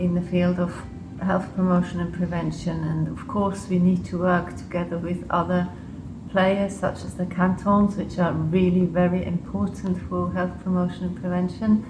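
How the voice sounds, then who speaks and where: Amid noticeable background noise and audible room echo, a woman with an English accent speaks at a moderate pace. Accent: English-sounding. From Switzerland and Liechtenstein. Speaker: public health official. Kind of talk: interview. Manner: hesitant, with fillers.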